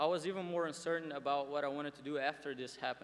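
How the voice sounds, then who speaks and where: A man's fairly quick speech in a Portuguese accent, with fairly even intonation. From Brazil, Porto Alegre. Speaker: student commencement speaker. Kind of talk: commencement speech. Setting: graduation ceremony with audience.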